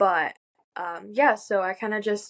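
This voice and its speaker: Here is a woman with an ordinary speaking voice and a medium pitch. Her intonation is fairly even, and the sound is dry and close with no echo. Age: 18. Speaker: college student, sales closer. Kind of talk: interview. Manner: casual, filler-heavy.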